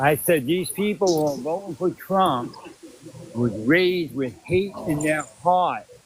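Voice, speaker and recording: With noticeable background noise behind him, a man speaks at a fairly slow pace in a high voice with ordinary pitch variation. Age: 60s. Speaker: caller. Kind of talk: casual chat.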